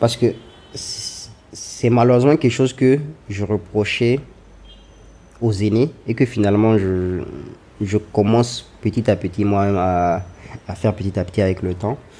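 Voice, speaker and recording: A man with a fairly low pitch and a dark, mellow tone speaks at a fairly slow pace, with ordinary pitch variation and long, frequent pauses. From Niger. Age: 20s. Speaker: architect. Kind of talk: interview.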